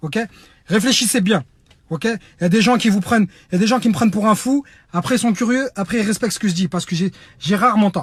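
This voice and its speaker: Talking at a very fast pace, a man with a high pitch sounds animated, using ordinary pitch variation. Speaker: humanitarian activist. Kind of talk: online video appeal. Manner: loud.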